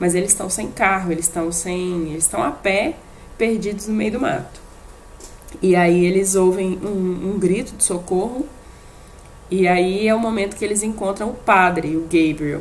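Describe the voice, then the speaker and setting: The speech moves at a fairly slow pace with ordinary pitch variation. Long, frequent pauses break it up, and room echo is audible. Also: woman, medium pitch for a woman. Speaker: podcast co-host. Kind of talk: casual chat. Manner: halting.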